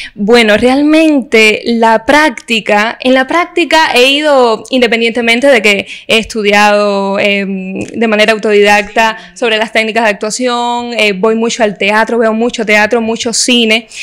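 In an ordinary speaking voice, a woman talks at a fairly slow pace with a fairly high pitch, hardly any pauses and very even loudness. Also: ordinary pitch variation. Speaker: actress and TV presenter. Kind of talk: interview.

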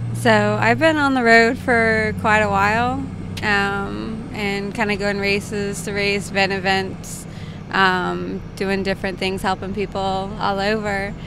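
Noticeable background noise sits under a woman's fairly slow speech. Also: ordinary pitch variation, dry sound with no echo. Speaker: podcast guest. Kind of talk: interview answer. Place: car. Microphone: handheld.

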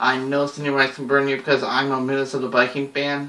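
Audible room echo around a man's voice. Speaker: sports vlogger. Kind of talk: casual vlog prediction. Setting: at home, someone sleeping. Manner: hushed, moderate volume; hesitant, many fillers. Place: home room. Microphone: webcam.

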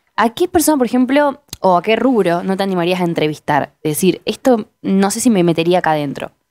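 A woman at medium pitch talks at a fairly quick pace with hardly any pauses and very wide pitch swings. The sound is dry and close with no echo. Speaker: interviewer. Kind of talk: interview. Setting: studio.

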